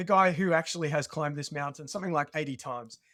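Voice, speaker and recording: Very fast speech with an Australian accent and ordinary pitch variation comes through on a very clean recording against a silent background. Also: man. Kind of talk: podcast interview, personal story.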